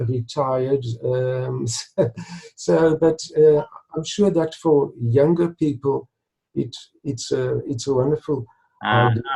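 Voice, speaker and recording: A man speaks at a very slow pace with a fairly high pitch, a dark, mellow tone that is somewhat breathy, ordinary pitch variation, and long, frequent pauses. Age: 60s. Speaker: retired stuttering blogger. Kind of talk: interview. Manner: halting, with repetitions and fillers.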